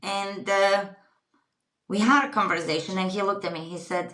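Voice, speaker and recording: The speaker has a Croatian accent, and audible room echo can be heard. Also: woman. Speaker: retreat company founder. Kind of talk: podcast interview.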